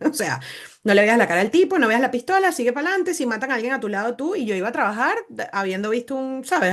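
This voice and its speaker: This woman talks at a very fast pace in a fairly high pitch. Her pitch swings very widely. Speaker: doctor and podcast host. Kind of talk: interview conversation.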